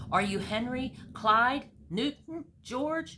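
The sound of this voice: A woman puts on a character voice, fairly high in pitch, with a bright, sharp tone and a slightly husky edge. She speaks slowly with lively intonation.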